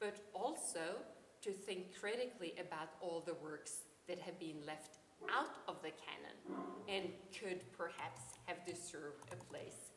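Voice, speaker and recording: Speaking in a Norwegian accent, a woman with a fairly low pitch talks at a fairly slow pace, with long, frequent pauses and ordinary pitch variation. Room echo is audible. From Norway, Oslo. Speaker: philosophy professor. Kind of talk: academic conference talk. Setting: conference. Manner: hesitant, many ums.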